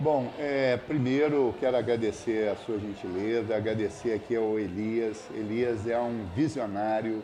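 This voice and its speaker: A man in a plain, everyday voice, at medium pitch, with fairly even intonation, very even loudness, and a fairly slow pace with hardly any pauses. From Brazil, Espírito Santo (Castelo). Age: 60s. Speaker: environmental scientist and professor. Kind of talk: podcast interview.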